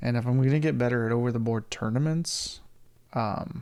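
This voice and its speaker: A man at a moderate pace. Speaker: chess content creator. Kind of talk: live game commentary. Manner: thinking aloud, halting; mumbling.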